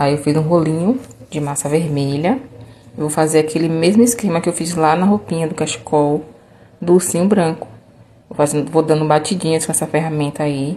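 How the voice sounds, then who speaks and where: A woman's very deep, low voice, fairly quick, with ordinary pitch variation and noticeable background noise. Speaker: craft tutorial maker. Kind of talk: tutorial. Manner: casual, chatty.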